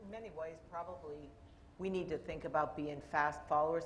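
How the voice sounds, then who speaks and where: A woman speaks at a very fast pace. Noticeable background noise can be heard. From Canada. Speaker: corporate IT executive on a panel. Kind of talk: panel discussion.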